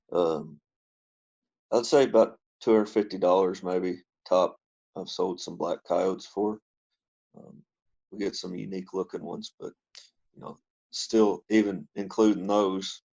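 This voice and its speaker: A man's fairly low voice at a fairly slow pace, with fairly even intonation, long, frequent pauses, and big swings in loudness, in a dry, close sound with no echo. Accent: Kentucky. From Kentucky, US. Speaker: trapper. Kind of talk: casual interview chat. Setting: internet call. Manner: hesitant, many fillers.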